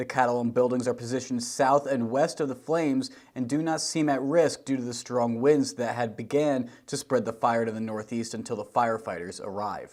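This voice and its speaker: A man with a normal speaking voice talks at a medium pitch and moderate pace with fairly even intonation in a very clean recording with a silent background. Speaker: TV news reporter. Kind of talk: TV news report.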